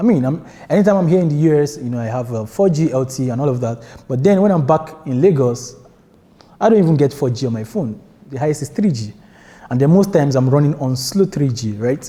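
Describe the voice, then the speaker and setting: A man with a Nigerian accent speaks very fast in a fairly high, somewhat breathy voice. His tone is dark and mellow, and his intonation is lively. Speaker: software developer and conference speaker. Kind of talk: tech conference talk. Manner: casual, many filler words.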